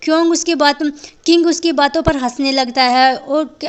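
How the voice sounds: High pitch from a woman, with fairly even intonation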